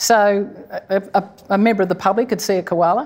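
Her accent is Australian. The woman's pitch moves in an ordinary way. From Sydney, Australia. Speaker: koala conservationist, wildlife hospital director. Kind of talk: live conversation before audience. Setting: stage with audience, museum hall.

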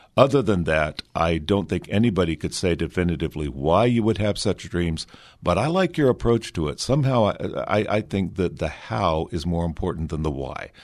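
Lively intonation runs through this man's very deep, low voice. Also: moderate pace, quiet background. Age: 60s. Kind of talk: radio interview.

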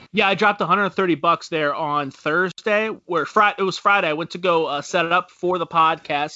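A man's high-pitched voice at a moderate pace, fairly even intonation and hardly any pauses. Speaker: sports podcast host. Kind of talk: casual chat. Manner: laughs often.

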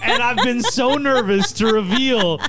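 Noticeable noise fills the background as a man talks, his pitch moving in a typical way. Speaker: podcast host.

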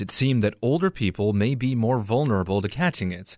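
Over a quiet background, a man with an unremarkable speaking voice talks at medium pitch and a moderate pace. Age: 30s. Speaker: radio news host. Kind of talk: news reading.

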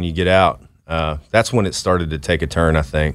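A man with an American accent speaks at a moderate pace with ordinary pitch variation, on a very clean recording with a silent background. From Dallas, Texas. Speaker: Marine veteran. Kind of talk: interview.

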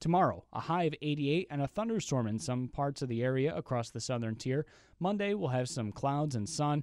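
A man with an unremarkable speaking voice talks at a fairly quick pace with a fairly high pitch. His intonation is lively, and the background is quiet. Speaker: radio news anchor. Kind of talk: news reading. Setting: studio.

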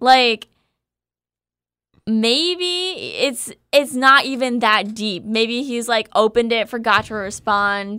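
A woman speaks slowly with a fairly high pitch and ordinary pitch variation. Her tone is clear, smooth, bright and sharp.

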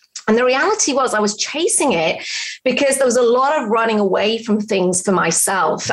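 The voice swings very widely in pitch at a fairly quick pace over noticeable background noise. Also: woman. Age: 50s. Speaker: business mentor and author. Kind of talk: interview. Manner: animated.

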